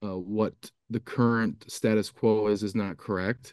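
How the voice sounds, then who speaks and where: With an American accent, a man talks in a flat monotone at a fairly low pitch, the sound dry with no echo. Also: quiet background. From US Midwest, Wisconsin. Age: 30s. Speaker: farmer and publisher. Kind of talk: panel discussion. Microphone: video call.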